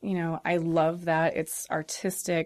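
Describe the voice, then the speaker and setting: In a Midwestern American accent, a woman with a fairly low pitch talks at a fairly slow pace on a very clean recording with a silent background. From US Midwest (northern Indiana). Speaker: aerial artist and drag performer. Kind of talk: casual interview.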